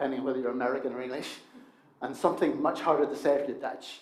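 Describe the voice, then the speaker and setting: Audible room echo surrounds a man as he speaks. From Northern Ireland, Coleraine. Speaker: preacher. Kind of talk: sermon.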